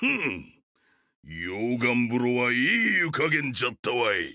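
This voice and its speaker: A man growls in a put-on character voice with ordinary pitch variation and very even loudness. The recording is very clean, with a silent background. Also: medium pitch for a man, moderate pace. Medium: video game.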